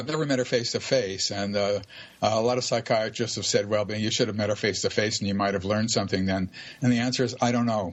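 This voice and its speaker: A man speaks at a fairly quick pace in a fairly low pitch. Noticeable background noise is present. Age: 70s. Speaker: UFO abduction researcher. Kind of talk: radio interview. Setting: live radio show. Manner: halting, many fillers.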